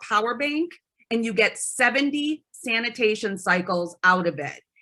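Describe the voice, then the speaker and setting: Her tone bright and sharp, a woman speaks at a high pitch with lively intonation. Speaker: promotional products sales rep. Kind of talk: product presentation.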